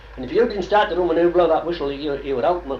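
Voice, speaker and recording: Over noticeable background noise and audible room echo, a man with a Cumbrian accent speaks at a very fast pace. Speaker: oral history interviewee. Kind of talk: oral history interview.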